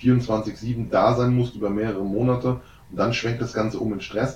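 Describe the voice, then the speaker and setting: A man with an unremarkable speaking voice talks at medium pitch and a moderate pace, with fairly even intonation. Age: 30s. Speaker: entrepreneur and disaster relief worker. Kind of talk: casual interview. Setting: on location in a relief camp.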